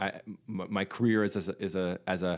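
A man's fairly low voice with fairly even intonation, a normal speaking voice. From Canada. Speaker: singer-songwriter and facilitator. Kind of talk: casual interview chat. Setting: remote call.

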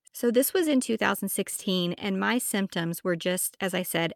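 At a moderate pace, a woman speaks in a medium pitch with ordinary pitch variation, a bright, sharp tone and vocal fry. The sound is dry and close with no echo, on a very clean recording with a silent background. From Texas, Amarillo. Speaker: podcast host and herbalist. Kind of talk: personal story monologue.

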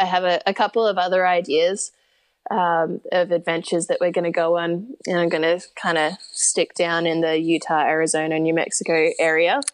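A woman with a fairly low pitch speaks at a moderate pace and very even loudness. The background is quiet. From Australia. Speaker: long-distance horseback rider and mental health advocate. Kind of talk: interview. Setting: remote call. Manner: animated.

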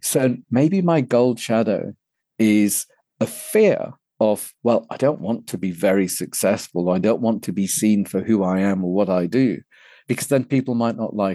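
A man talks in a British accent at a medium pitch, with a dark, mellow tone. The background is quiet. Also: ordinary pitch variation, moderate pace. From England (London). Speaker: men's personal development coach. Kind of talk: interview. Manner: gentle.

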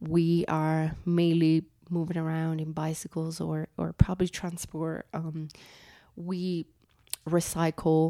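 In an Italian accent, a woman with a dark, mellow tone and a fairly low pitch speaks at a very slow pace in a monotone, flat intonation, in a dry, close sound with no echo. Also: big swings in loudness. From Italy. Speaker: conservationist. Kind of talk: interview. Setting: in person in Mexico City.

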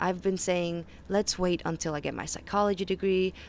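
A woman with a Faroese accent, at a moderate pace, in a monotone, flat intonation. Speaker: podcast host, health and mindset educator. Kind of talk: solo monologue podcast. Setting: outdoors on a balcony.

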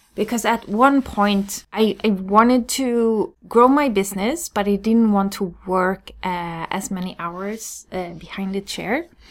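A woman with a Swedish accent at a fairly slow pace, ordinary pitch variation, and a very clean recording with a silent background. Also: medium pitch for a woman, hardly any pauses. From Sweden. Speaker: hairstylist and business coach. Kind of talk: solo podcast monologue.

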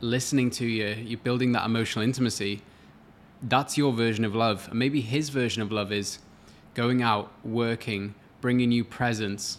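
A man talks in a Welsh accent. His pace is moderate and his intonation fairly even. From Wales. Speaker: relationship coach. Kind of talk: casual chat.

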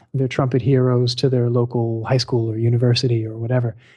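Somewhat breathy and dark, mellow in tone, a man's medium-pitched voice comes with an American accent. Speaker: trumpeter. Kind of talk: interview. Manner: halting, many repeated words.

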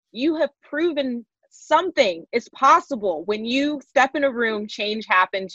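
A woman's animated tone, with lively intonation and a dry, close sound free of echo. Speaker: podcast host. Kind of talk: casual interview. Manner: high energy.

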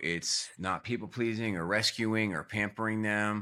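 Very clean and silent in the background, the recording features a man with a fairly low pitch. He has an unremarkable speaking voice with fairly even intonation. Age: 40s. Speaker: family coach. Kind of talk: interview.

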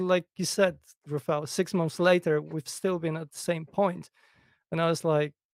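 Vocal fry runs through fairly even intonation at a moderate pace, with a dry, close sound and no echo. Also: man, fairly high pitch for a man.

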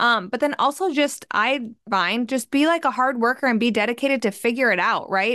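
A woman with a normal speaking voice talks in an American accent at a moderate pace. Her pitch variation is ordinary, and the background is quiet. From New York City. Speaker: personal finance podcast host. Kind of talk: podcast interview.

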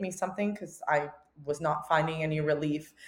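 A woman with a normal speaking voice keeps a moderate pace and fairly even intonation. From Albania, moved to Canada as a child. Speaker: entrepreneur. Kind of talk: interview. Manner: casual, many fillers.

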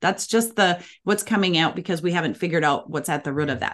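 A woman with an Upper Midwest accent speaks in a fairly low pitch, her intonation lively, against a quiet background. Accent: Upper Midwest American. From Minnesota, US Midwest. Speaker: parenting coach. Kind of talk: interview.

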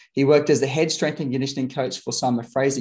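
Against a quiet background, a man speaks with an Australian accent. His pitch sits fairly high. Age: 30s. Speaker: podcast host and fitness coach. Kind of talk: ad read; interview. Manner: animated.

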